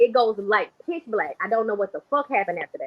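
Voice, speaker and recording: At a very fast pace, a woman speaks with ordinary pitch variation. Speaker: psychic livestreamer. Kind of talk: livestream monologue. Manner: stutters when excited.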